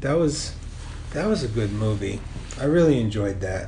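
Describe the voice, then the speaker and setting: Speaking with an American accent, a man delivers his words at a medium pitch and a fairly slow pace, his intonation lively. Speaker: podcast co-host. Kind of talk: casual chat. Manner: casual, colloquial, profane.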